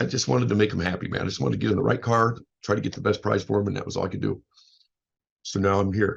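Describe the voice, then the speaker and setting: A man talks at a very fast pace with vocal fry. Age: 50s. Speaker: motivational speaker and life coach. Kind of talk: casual podcast monologue. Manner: loud.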